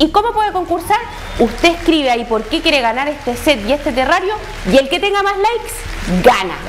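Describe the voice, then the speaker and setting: With music in the background, a woman speaks at a fairly quick pace in an extremely high pitch, her voice swinging very widely in pitch. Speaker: TV show host. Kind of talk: live TV presenting, contest announcement. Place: studio.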